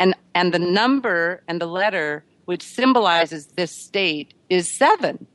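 A woman's fairly low-pitched voice, a plain, everyday voice, at a moderate pace with ordinary pitch variation. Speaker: author. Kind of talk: radio interview.

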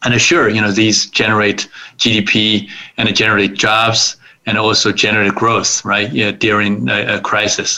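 Fairly slow and fairly low-pitched, a man speaks with a Chinese accent. His intonation is fairly even and his loudness very even. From China, Suzhou near Shanghai. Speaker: investor, attorney and author. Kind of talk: interview.

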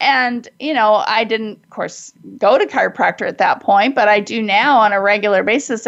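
Fairly high in pitch, a woman with an unremarkable speaking voice talks at a moderate pace. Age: 60s. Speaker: radio host and life coach. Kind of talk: promotional appeal; radio interview.

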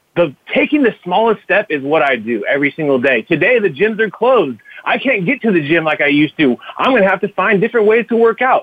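In an American accent, the energetic, upbeat voice races along very fast with very wide pitch swings. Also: man, high pitch for a man. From Fresno, California. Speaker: social media marketer and podcaster. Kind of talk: interview conversation. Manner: energetic, upbeat, casual.

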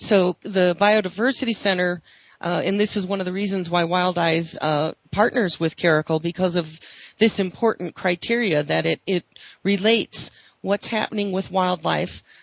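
A woman with a plain, everyday voice speaks at a fairly low pitch and a moderate pace. Her pitch variation is ordinary. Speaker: radio host. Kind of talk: radio interview.

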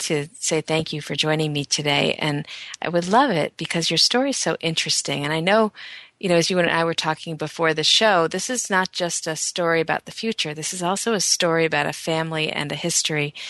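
With an ordinary speaking voice, a woman talks at a fairly low pitch and a fairly quick pace, showing ordinary pitch variation in a dry, close sound with no echo. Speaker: radio host. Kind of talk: radio interview. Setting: radio show.

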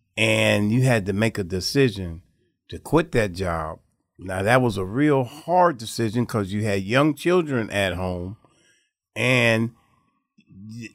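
In a plain, everyday voice at medium pitch, a man talks at a fairly slow pace with lively intonation. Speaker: guest brother. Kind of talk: casual conversation interview. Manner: repetitive, conversational.

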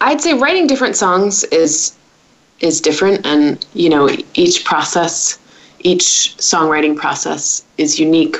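Against noticeable background noise, a woman with an American accent speaks fairly slowly at a fairly low pitch. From United States. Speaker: singer-songwriter. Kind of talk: interview.

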